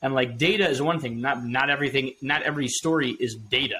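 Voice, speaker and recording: Bright and sharp in tone, a man talks at a medium pitch and moderate pace. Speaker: podcast co-host. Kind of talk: casual chat.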